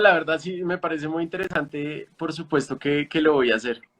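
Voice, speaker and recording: Fairly high in pitch for a man, this unremarkable speaking voice moves at a fairly quick pace with ordinary pitch variation. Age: 20s. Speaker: founder of a news literacy platform. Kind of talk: interview conversation.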